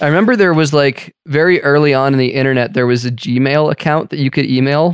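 Using an ordinary speaking voice, a man talks at a fairly quick pace with hardly any pauses, a fairly high pitch and ordinary pitch variation. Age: 30s. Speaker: podcast host. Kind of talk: casual chat; news commentary.

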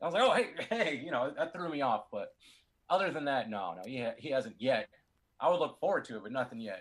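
A man speaks at a fairly high pitch, his voice swinging very widely in pitch. His loudness also rises and falls in big swings. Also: moderate pace. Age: 30s. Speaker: DJ. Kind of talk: casual interview.

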